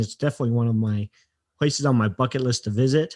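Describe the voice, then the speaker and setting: A man speaks at a very fast pace with fairly even intonation in a General American accent. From US West, Utah. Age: 40s. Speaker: podcast host. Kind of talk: interview.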